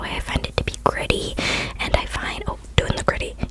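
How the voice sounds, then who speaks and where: A woman whispers at a fairly quick pace through noticeable background noise. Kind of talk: ASMR whisper ramble, casual talk to camera. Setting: close-up microphone, studio/bedroom recording.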